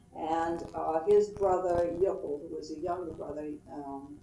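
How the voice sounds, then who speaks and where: A woman speaks at a very slow pace, with noticeable background noise and audible room echo. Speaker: family history interviewee. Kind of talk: oral history interview. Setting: at home.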